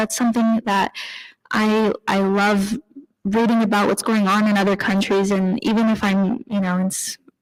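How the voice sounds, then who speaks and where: Soft-spoken, the speaker has an American accent and fairly even intonation. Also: woman. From US, northern Idaho (Coeur d'Alene). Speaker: journalist. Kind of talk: panel talk.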